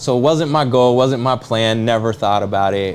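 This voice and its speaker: There is noticeable background noise as a man talks at a fairly quick pace with ordinary pitch variation. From US Pacific Northwest, Seattle area. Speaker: real estate agent and political candidate. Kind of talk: talk show interview.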